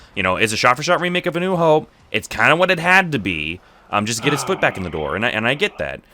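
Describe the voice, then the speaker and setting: Loud and very fast, a man speaks at a fairly high pitch with vocal fry and very wide pitch swings. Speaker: streamer and voice actor in training. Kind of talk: casual chat while gaming. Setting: livestream with voice chat. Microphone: echo problem.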